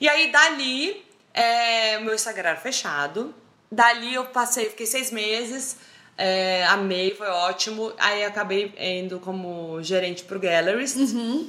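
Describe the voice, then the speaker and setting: Fairly slowly, a woman speaks at a fairly high pitch in a bright, sharp and animated tone. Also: lively intonation. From Brazil, Roraima (Boa Vista). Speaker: social media humorist. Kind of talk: casual chat.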